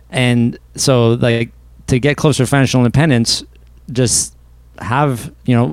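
Speaking in a plain, everyday voice, a man with a Canadian accent keeps a medium pitch and fairly even intonation. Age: 30s. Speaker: personal finance coach. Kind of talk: interview.

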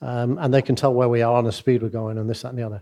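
A dark, mellow tone in a Mancunian accent with fairly even intonation. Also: man. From Manchester, northern England. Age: 60s. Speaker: business leader and former CEO. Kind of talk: interview on stage.

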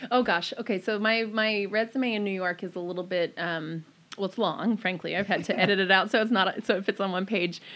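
This speaker has an American accent and a normal speaking voice, moving at a fairly quick pace. The intonation stays fairly even. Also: woman, medium pitch for a woman. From Maryland, US. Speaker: small business owner. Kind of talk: casual interview.

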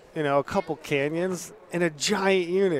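With an American accent and ordinary pitch variation, a man speaks over noticeable background noise. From southern Utah. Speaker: podcast host, hunter.

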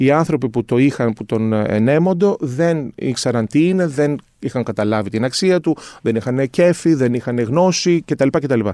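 A man's medium-pitched, dark and mellow voice with lively intonation at a fairly slow pace, dry and close with no echo, in a very clean recording with a silent background. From Greece, northern Athens suburbs. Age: 50s. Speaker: concept maker. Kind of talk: casual chat.

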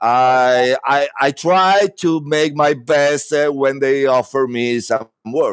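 With an Italian accent and a fairly high pitch, a man speaks very slowly with hardly any pauses. His loudness stays very even, and his pitch varies in an ordinary way. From Rome, Italy. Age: 50s. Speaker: actor. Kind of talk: interview. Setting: video call.

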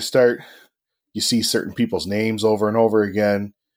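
A man speaks at a moderate pace. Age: 30s. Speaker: auto technician. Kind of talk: casual chat.

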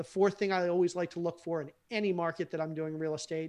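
A man with an American accent speaks at a very fast pace in a high pitch. His intonation stays fairly even. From US, Baltimore. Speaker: real estate investor. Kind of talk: interview.

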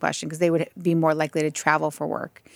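Recorded very cleanly against a silent background, a woman's voice comes across dry and close with no echo. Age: 40s. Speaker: author. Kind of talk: casual chat. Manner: animated.

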